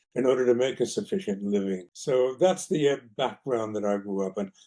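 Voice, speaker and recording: This man has an American accent and a dark, mellow tone. He talks at a fairly quick pace and a medium pitch. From US West Coast, East Los Angeles. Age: 80s+. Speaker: film producer. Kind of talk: interview.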